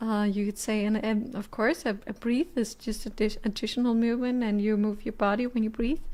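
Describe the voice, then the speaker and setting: The intonation stays fairly even on this very clean recording with a silent background. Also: woman. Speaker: violinist and violin teacher. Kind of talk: livestream practice session chat. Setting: livestream. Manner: halting.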